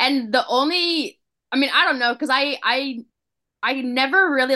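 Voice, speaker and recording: A high-pitched woman's voice, raised and projected, bright and sharp in tone, with ordinary pitch variation. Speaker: children's book author. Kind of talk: casual chat.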